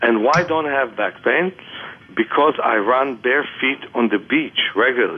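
Fairly slow, lively delivery from a man with an unremarkable speaking voice and a fairly high pitch. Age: 60s. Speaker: author and vision therapist. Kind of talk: interview.

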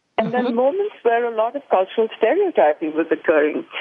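A woman with a fairly high pitch speaks at a moderate pace over noticeable background noise. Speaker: author and public speaker. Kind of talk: radio interview.

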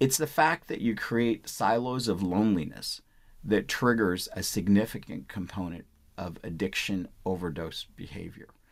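The intonation here rises and falls in a lively way. It is an ordinary speaking voice. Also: man, fairly low pitch for a man, moderate pace. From India, Punjab; moved to US at nine. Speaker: physician. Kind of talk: interview. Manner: repeats words, false starts.

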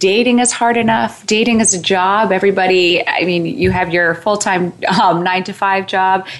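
A woman at medium pitch with ordinary pitch variation and a moderate pace, over noticeable background noise. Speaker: matchmaker and dating coach. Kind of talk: casual interview chat. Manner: rambling, filler-heavy.

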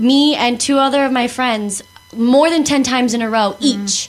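Noticeable background noise sits behind a woman with a fairly high pitch. She talks at a moderate pace with fairly even intonation. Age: 20s. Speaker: youth radio show host. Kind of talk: casual chat.

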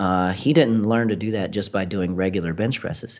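At a moderate pace, with ordinary pitch variation, this is an ordinary speaking voice. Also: man. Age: 30s. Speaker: personal trainer and gym owner. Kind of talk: casual interview.

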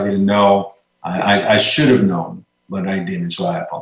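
Speaking in a Puerto Rican accent at a moderate pace, the voice shows ordinary pitch variation. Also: man. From Puerto Rico. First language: Spanish. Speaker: retired army colonel. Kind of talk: interview. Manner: halting, many repeated words.

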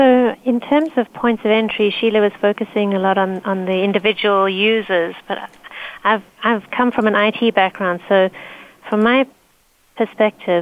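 Here is a woman with a normal speaking voice and a medium pitch. She talks at a moderate pace with fairly even intonation. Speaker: security consultant team lead. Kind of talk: panel discussion.

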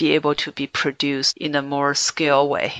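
A woman with a Chinese accent and a very deep, low pitch speaks at a moderate pace. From China. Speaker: podcast host and business consultant. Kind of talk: interview. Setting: Skype call.

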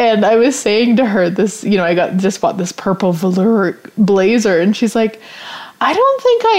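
Over noticeable background noise, a woman with a Canadian accent speaks in an animated tone at a fairly high pitch. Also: very even loudness. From Canada, rural Saskatchewan. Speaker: podcast host, business coach. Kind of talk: casual solo talk show. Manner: animated, laughs often.

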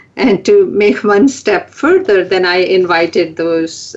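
A woman talks at a fairly slow pace with an American accent. Noticeable background noise is present. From California. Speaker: radio show co-host. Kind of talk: talk radio discussion.

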